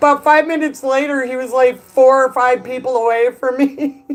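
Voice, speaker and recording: A woman with a Chicago accent speaks at a moderate pace in a high pitch, her intonation monotone and flat, with music in the background. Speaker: streamer. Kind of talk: casual chat. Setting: live stream.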